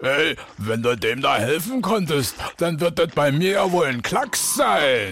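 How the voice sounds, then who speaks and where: A man puts on a raspy character voice. It sits fairly high in pitch and moves at a fairly slow pace. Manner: brash, boastful.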